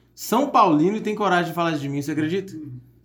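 A man's high-pitched, fairly quick speech over noticeable background noise. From São Paulo state, Brazil (São José dos Campos). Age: 30s. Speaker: entrepreneur and singer. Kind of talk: casual chat.

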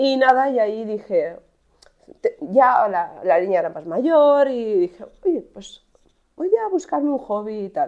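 A woman's dark, mellow tone rises and falls in very wide pitch swings. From Spain, Alcoy (Alicante). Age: 40s. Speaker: online shop owner and content creator. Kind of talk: casual monologue. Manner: hesitant, many fillers.

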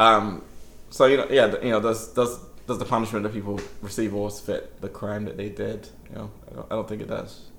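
With big swings in loudness, a man talks at a fairly quick pace amid audible room echo. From England, London (a year in Nigeria as a child). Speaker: writer. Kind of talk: casual interview. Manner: halting.

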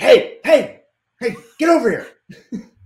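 Using a put-on character voice, a man speaks in a stern tone at an extremely high pitch. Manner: stern, yelling.

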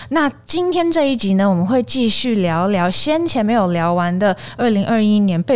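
A woman speaks at a moderate pace in a normal speaking voice, her fairly high pitch carried by lively intonation. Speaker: podcast host. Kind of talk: casual chat.

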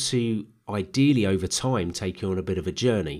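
A man speaks at a fairly quick pace. His pitch sits fairly low, with ordinary pitch variation. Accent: London. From London. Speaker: podcast host and accountant. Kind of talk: solo monologue podcast.

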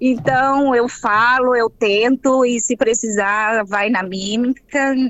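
At a very slow pace and with ordinary pitch variation, the voice comes through noticeable background noise. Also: woman. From Espírito Santo, Brazil (Baixo Guandu, later Vitória). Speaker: psychologist. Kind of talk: interview.

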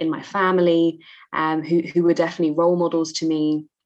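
A woman's fairly low-pitched voice in a London accent, at a fairly quick pace over a quiet background. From East London, England. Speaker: author and poet. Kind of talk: interview.

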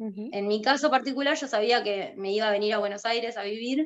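Using an ordinary speaking voice, a woman talks at a fairly quick pace with a fairly high pitch. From Argentina, Santa Cruz (Río Gallegos). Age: 30s. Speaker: illustrator and graphic designer. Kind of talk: casual interview.

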